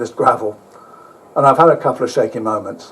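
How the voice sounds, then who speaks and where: The speaker is a man talking fairly quickly. Noticeable background noise is present throughout. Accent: English. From England. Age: old. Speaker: motorcycle traveller and author giving a talk. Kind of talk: travel talk with slides; reading aloud from own book. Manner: casual, hesitant with fillers.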